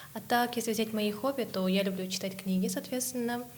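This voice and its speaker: Female speech with audible room echo and noticeable background noise. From Kazakhstan. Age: 20s. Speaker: English teacher. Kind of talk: casual podcast chat.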